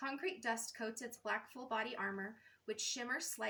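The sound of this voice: With ordinary pitch variation, an unforced reading voice goes through the text.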